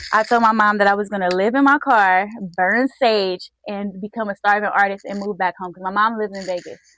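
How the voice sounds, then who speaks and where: An ordinary speaking voice moves at a fairly quick pace with fairly even intonation, the sound dry and close with no echo. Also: woman. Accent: American. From Los Angeles, South Central. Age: 20s. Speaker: singer and rapper. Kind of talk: casual interview.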